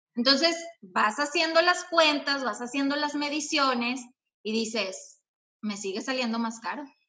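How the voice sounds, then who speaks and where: At a fairly slow pace, a woman with a high pitch speaks with ordinary pitch variation. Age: 30s. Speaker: habit-change coach. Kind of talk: interview chat. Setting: online live stream.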